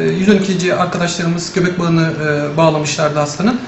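Light background noise and audible room echo surround a man with a high pitch. He holds a moderate pace with fairly even intonation. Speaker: neonatal intensive care doctor. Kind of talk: press statement. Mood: calm, measured, factual. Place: office.

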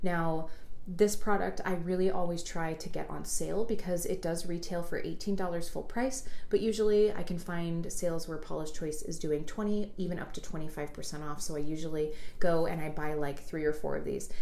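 The speaker keeps a moderate pace with ordinary pitch variation, and audible room echo fills the recording. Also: woman, fairly low pitch for a woman. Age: 30s. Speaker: beauty YouTuber, hairdresser and makeup artist; beauty YouTuber. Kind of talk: product review tutorial. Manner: casual, conversational. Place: home room.

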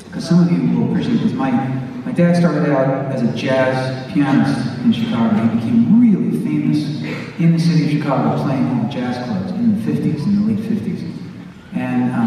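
A man speaks at a moderate pace. Strong room echo and light background noise surround him. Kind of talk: stage banter storytelling. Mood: warm, reflective, humorous. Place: stage.

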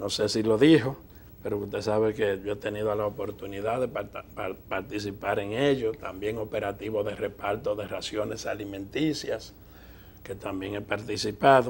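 With a fairly low pitch and fairly even intonation, a man speaks somewhat breathily at a moderate pace. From Dominican Republic. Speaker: TV interview show host. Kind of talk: TV interview. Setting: TV studio. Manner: formal. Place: studio. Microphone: lapel.

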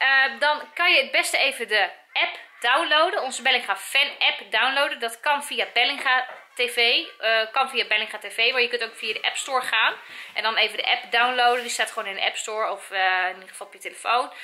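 Fairly quick delivery from a woman, pitched high. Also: ordinary pitch variation. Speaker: family vlogger. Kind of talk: casual vlog chat. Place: home room. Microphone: phone near.

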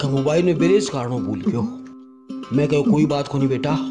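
A man's voice over faint background music. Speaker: comic storyteller. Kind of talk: scripted comedy sketch dialogue. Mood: casual, humorous storytelling. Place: open country.

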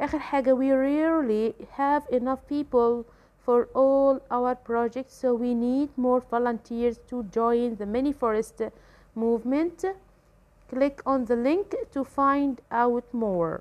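A woman with an Egyptian accent speaks at a fairly slow pace, her high pitch showing ordinary variation. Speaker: English teacher. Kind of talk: tutorial. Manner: hesitant with filler sounds.

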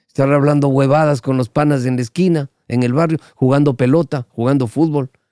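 A man's medium-pitched voice with a dark, mellow tone, ordinary pitch variation and a moderate pace, in a dry sound with no echo over a quiet background. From Guayaquil, Ecuador. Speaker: veteran radio broadcaster; podcast guest. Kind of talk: casual chat. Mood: humorous, relaxed storytelling. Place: studio. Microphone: studio mic.

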